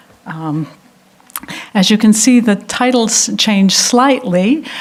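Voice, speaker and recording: Noticeable background noise sits under speech delivered at a very slow pace with ordinary pitch variation. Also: woman. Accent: American. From United States. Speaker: architecture prize director. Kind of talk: lecture. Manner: hesitant, many fillers.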